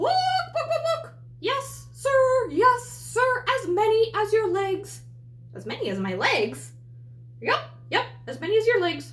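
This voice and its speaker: In a put-on character voice of extremely high pitch, the speaker moves at a fairly slow pace with long, frequent pauses over clear background noise. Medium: read story. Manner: cheerful, singsong.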